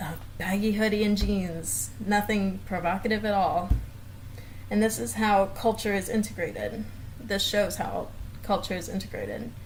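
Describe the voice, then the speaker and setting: A woman with an American accent speaks at a moderate pace and medium pitch, with fairly even intonation. There is audible room echo and music in the background. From US South, Florida south of Tampa. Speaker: speech pathology student. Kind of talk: class presentation video.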